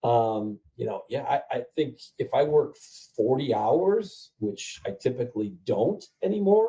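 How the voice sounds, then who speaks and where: Speaking at a fairly slow pace, a man sounds somewhat breathy. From Ohio, US Midwest. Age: 60s. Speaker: print franchise owner. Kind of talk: interview on a webinar call. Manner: halting, many fillers.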